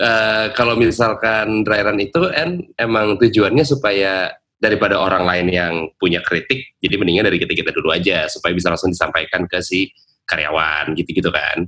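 Speaking at a fairly quick pace, a man uses a fairly low pitch, a bright, sharp tone, ordinary pitch variation and very even loudness. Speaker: radio announcer and podcast host. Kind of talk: casual chat between friends.

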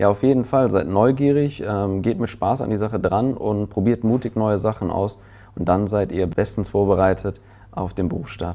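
Against a quiet background, a man speaks at a moderate pace with a fairly low pitch, a dark, mellow tone and ordinary pitch variation. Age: 20s. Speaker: insurance trainer in human resources. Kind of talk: interview.

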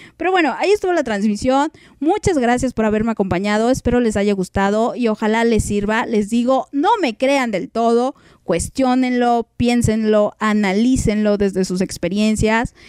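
The sound is dry and close, without echo, carrying a woman's normal speaking voice. Her pitch is fairly high with ordinary variation, and her pace is moderate. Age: 30s. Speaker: podcast host. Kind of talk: casual chat. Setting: live stream.

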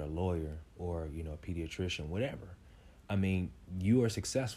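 A man speaks at a moderate pace in a very deep, low voice. His tone is dark and mellow. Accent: American. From Kansas City, Kansas (Wyandotte County). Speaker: motivational speaker and real estate investor. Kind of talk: casual interview.

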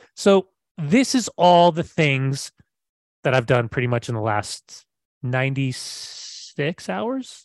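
A man with a General American accent speaks at a very slow pace. The sound is dry and close, with no echo. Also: fairly high pitch for a man, lively intonation. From California. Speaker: soccer broadcaster and former player. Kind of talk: casual chat. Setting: video call. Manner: animated.

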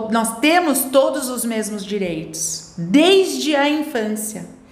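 A woman speaking at a very slow pace, with audible room echo and noticeable background noise. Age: 50s. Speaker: school owner and educator. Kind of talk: interview.

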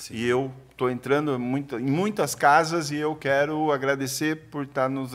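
A man speaks at medium pitch and a moderate pace with fairly even intonation. His is an unremarkable speaking voice. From Brazil, São Paulo state countryside. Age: 50s. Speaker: shoe distributor and entrepreneur. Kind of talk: casual chat. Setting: studio.

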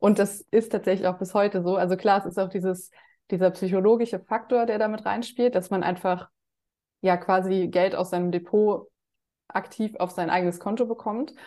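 A plain, everyday voice from a woman, medium in pitch, with fairly even intonation, a moderate pace and a quiet background. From Germany. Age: 30s. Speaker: finance influencer and dividend investor. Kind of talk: interview.

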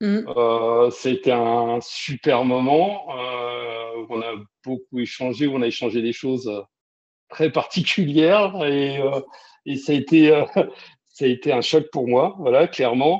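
The man's voice sits at a medium pitch with ordinary pitch variation. He talks at a very slow pace. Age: 50s. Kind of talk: casual interview.

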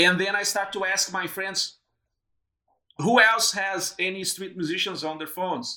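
In a Portuguese accent, a man uses a raised, projected voice that is high-pitched, bright and sharp, speaking fairly slowly with fairly even intonation. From southern Brazil, Rio Grande. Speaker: PhD student and podcaster. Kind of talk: interview conversation.

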